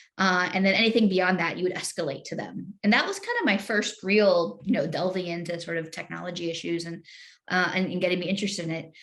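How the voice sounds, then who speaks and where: A woman with an American accent speaks at a medium pitch and a very fast pace. Her intonation is fairly even, with noticeable background noise behind her. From UK, with time in the US. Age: 40s. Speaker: former government official in internet policy. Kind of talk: interview. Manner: casual, with many fillers and repeated words.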